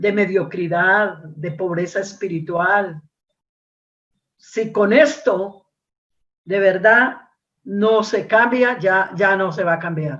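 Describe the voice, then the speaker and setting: A woman speaks very slowly at a medium pitch, with ordinary pitch variation. Long pauses come often. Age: 60s. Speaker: preacher. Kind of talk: sermon. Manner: repetitive, with fillers and hesitations.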